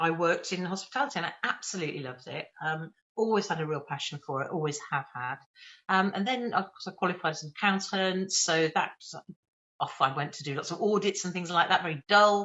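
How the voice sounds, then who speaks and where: A woman with a slight Birmingham accent speaks at a fairly quick pace and a fairly low pitch. Her pitch varies in an ordinary way while her loudness swings widely. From England, Birmingham area. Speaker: training company leader. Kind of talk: interview. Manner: fast.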